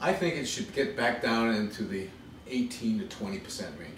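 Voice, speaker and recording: A man with an American accent talks very fast at a medium pitch, his lively intonation carrying over audible room echo. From Massachusetts. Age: 50s. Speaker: congressional candidate. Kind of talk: interview. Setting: at home.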